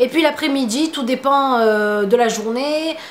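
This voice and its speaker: A voice with ordinary pitch variation is heard through noticeable background noise. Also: woman. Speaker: beauty vlogger. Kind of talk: casual vlog Q&A. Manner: hesitant, many fillers.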